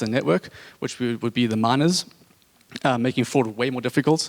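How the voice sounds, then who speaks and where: A man with a medium pitch and ordinary pitch variation talks at a fairly quick pace in a dry, close sound with no echo. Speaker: tech startup founder. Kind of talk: conference talk. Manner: fast when excited.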